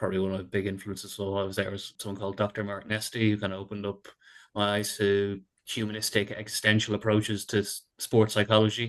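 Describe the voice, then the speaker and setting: Against a quiet background, a man talks at a very fast pace with a fairly low pitch and monotone, flat intonation. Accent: Dublin. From Ireland, Dublin. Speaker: sport psychologist. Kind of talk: podcast interview. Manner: repeats words, filler-heavy.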